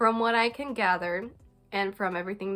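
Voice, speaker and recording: With music playing behind her, a woman speaks at a medium pitch with ordinary pitch variation. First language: not English. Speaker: gaming YouTuber. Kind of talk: casual vlog talk. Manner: casual, many fillers like 'like'.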